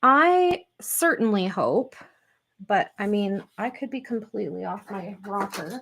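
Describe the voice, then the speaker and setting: With a Canadian accent, a woman speaks at a very slow pace and a fairly high pitch. The recording is very clean, with a silent background. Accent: Canadian, strength unsure. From Canadian prairies. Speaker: scrapbooking YouTuber. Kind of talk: casual live stream chat. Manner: chatty, filler-heavy.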